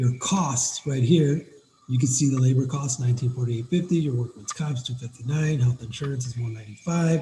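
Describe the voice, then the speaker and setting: A man speaks at a fairly quick pace in a medium-pitched, somewhat breathy voice with a dark, mellow tone. His pitch varies in an ordinary way. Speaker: business owner giving software tutorial. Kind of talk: tutorial. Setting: screen-share video recording. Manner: fast; animated.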